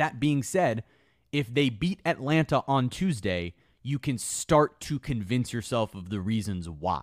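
On a very clean recording with a silent background, a man speaks at a fairly slow pace with very wide pitch swings. His medium-pitched voice sounds dry and close, with no echo. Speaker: sideline reporter and sports media host. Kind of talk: casual sports podcast interview.

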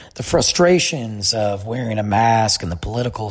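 Music behind a man whose pitch is medium. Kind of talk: casual monologue. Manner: stuttering.

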